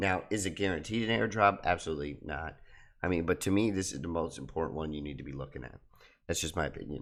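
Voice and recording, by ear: In a put-on character voice, a man talks at a very fast pace, his raspy tone very deep and low, with big swings in loudness.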